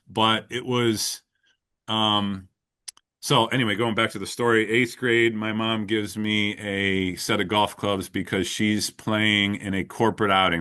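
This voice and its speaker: Here a man talks at a fairly slow pace. His voice sits fairly low in pitch, with fairly even intonation. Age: 40s. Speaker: golf coach. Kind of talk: podcast interview. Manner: halting.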